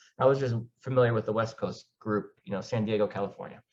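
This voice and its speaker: An ordinary speaking voice, a man at medium pitch and a fairly quick pace. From Argentina, moved to US as a teen. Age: 40s. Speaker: laser tag player. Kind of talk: interview.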